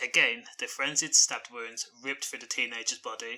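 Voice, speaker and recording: A man with a British accent, talking at a fairly quick pace. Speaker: crime news commentator. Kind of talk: news commentary. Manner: monotone.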